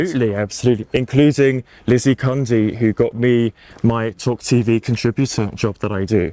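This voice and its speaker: With a British accent, a man speaks at a fairly quick pace in a medium pitch, his dark, mellow tone and fairly even intonation caught in a dry, close sound with no echo. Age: 20s. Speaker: showbiz reporter and TV contributor. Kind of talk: podcast interview. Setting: outdoors in a park.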